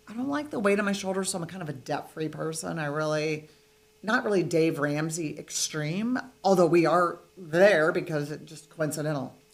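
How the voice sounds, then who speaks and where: A woman with a fairly low pitch and ordinary pitch variation, at a moderate pace, with big swings in loudness and noticeable background noise. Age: 60s. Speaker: real estate investor. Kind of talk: casual interview.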